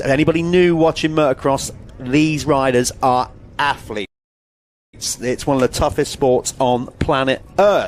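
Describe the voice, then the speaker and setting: Speaking at a fairly slow pace, a man with a British accent has a fairly high pitch. His pitch variation is ordinary. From Britain. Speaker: motocross commentator. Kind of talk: live commentary.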